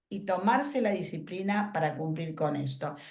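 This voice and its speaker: A somewhat breathy woman speaks at a moderate pace. Audible room echo surrounds her voice. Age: 70s. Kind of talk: workshop talk.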